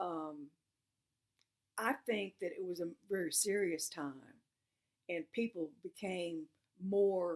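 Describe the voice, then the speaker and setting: Her pace is very slow. This woman's pitch moves in an ordinary way. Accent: Southern US. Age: 60s. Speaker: oral history interviewee. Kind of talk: oral history testimony. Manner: halting.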